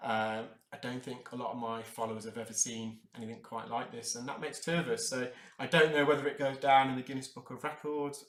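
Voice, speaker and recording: A medium-pitched man at a fairly quick pace. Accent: English. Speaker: earwax removal specialist. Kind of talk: live unscripted narration of procedure. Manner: hesitant, many fillers.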